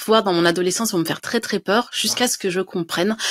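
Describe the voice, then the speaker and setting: Words come from a woman at a very fast pace. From France, Dijon; France. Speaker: writer and medium; interview guest. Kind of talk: interview. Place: home room. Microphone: studio mic.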